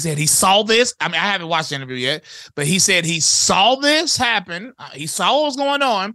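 In an American accent, a high-pitched man talks at a fairly quick pace in a raised, projected voice with very wide pitch swings and a bright, sharp tone. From US South, High Point, North Carolina. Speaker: rapper. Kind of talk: casual chat.

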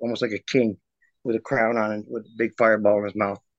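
A man talks very fast at a medium pitch with monotone, flat intonation, the sound dry and close with no echo. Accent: American. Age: 50s. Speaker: interviewee describing paranormal experiences. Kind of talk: casual interview. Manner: hesitant, many fillers.

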